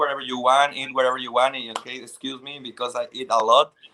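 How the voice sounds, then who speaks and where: In a Spanish accent, a man speaks with a medium pitch and a bright, sharp tone. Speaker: pageant contestant. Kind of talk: interview. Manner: halting.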